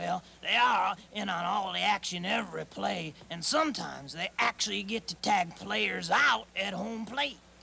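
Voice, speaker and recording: Using a put-on character voice at a middle pitch, the speaker keeps a moderate pace with hardly any pauses. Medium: audio drama. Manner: brash, wisecracking.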